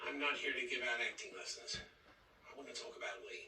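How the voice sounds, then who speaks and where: A man's raspy, put-on character voice at a fairly quick pace, with audible echo. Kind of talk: hard-boiled detective voice-over. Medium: solo performance. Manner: terse, clipped.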